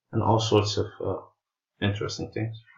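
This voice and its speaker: A man's somewhat breathy voice in a flat monotone. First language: Portuguese. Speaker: math teacher explaining darts rating system. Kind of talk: tutorial. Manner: halting, many filler sounds.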